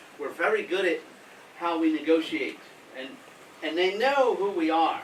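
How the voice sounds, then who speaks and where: Over noticeable background noise, the speaker talks with lively intonation in an American accent. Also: man. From US Northeast, Philadelphia. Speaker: humanitarian aid worker. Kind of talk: talk to school pupils with Q&A. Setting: school assembly with audience.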